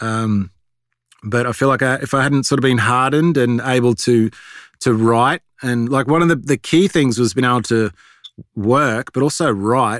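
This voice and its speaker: A man in an Australian accent, medium pitch, ordinary pitch variation, moderate pace, dry and close sound with no echo, on a very clean recording with a silent background. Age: 40s. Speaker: animation creator. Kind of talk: interview. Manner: halting.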